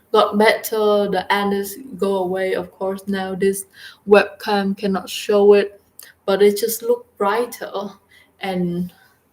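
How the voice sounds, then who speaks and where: A woman talks very slowly in a Vietnamese accent. Her intonation is monotone and flat. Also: medium pitch for a woman. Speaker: vlogger. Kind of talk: casual video diary. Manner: halting.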